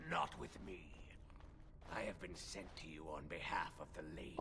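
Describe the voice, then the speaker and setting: A man's put-on character voice at a moderate pace, against loud background noise. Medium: video game. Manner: formal, solemn.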